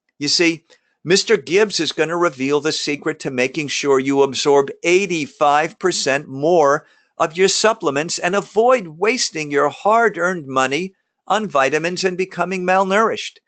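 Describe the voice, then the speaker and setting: Over a quiet background, a man with a New York accent talks at a moderate pace in a high pitch with ordinary pitch variation. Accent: New York area. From New Jersey (Jersey Shore, Lakewood). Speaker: emergency doctor. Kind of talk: webinar presentation. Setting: live webinar. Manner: casual, some stumbling and fillers.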